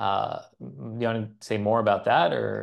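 Against a quiet background, a man with a General American accent speaks at a fairly slow pace with fairly even intonation. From United States and Israel, Iraqi and Bulgarian family. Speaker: journalist and author. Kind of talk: interview conversation. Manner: hesitant, many fillers and restarts. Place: studio.

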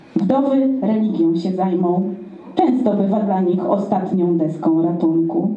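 A woman speaks at a very slow pace with lively intonation, and room echo is audible. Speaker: slam poet. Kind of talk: slam poetry performance. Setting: live event. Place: stage.

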